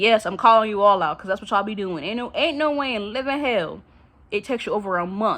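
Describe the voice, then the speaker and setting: A woman's fairly high voice, animated in tone and lively in intonation, at a very fast pace. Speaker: vlogger. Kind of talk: casual monologue rant. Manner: stuttering.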